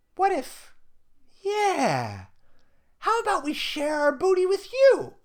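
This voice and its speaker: In a put-on character voice, a man speaks at a fairly slow pace, squeaky and at an extremely high pitch. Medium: read story.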